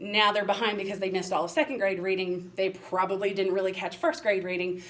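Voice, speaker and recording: A woman at medium pitch with an American accent, talking at a very fast pace over noticeable background noise. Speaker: special education administrator. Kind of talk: presentation.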